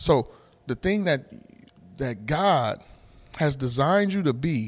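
A man talks with a fairly high pitch and an animated tone. His voice is somewhat breathy. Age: 40s. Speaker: podcast host and church member. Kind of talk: casual faith conversation.

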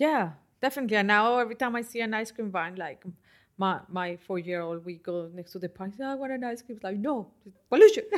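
A woman with a Spanish accent speaks at a medium pitch and a fairly quick pace, her loudness swinging widely. The recording is very clean, with a silent background. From Colombia. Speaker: environmental health researcher. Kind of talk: interview.

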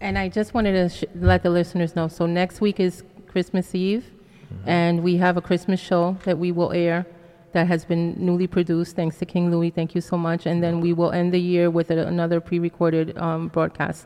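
Her voice is fairly low, and a woman talks at a fairly quick pace in a monotone, flat intonation. Noticeable background noise runs underneath. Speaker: radio co-host. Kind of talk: casual radio chat. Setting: radio studio.

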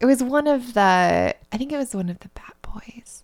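A woman speaks in a plain, everyday voice. She talks at a fairly slow pace with lively intonation. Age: 30s. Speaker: book podcast co-host. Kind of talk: casual chat.

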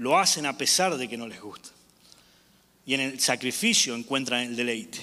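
With an Argentine accent, this man talks at a medium pitch with ordinary pitch variation, big swings in loudness, and long, frequent pauses. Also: moderate pace. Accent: Argentine Spanish (voseo). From Argentina. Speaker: evangelist preacher. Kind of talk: sermon. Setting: church. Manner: animated.

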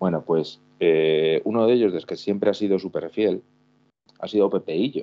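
His voice is fairly low in pitch. The man keeps a moderate pace. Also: ordinary pitch variation. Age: 40s. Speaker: football fan commentator. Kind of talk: casual chat. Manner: halting. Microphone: echo.

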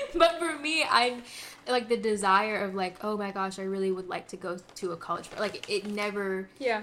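Her voice sits at a medium pitch with lively intonation, and she keeps a moderate pace. The woman is heard over noticeable background noise. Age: 20s. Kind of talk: casual chat. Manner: animated.

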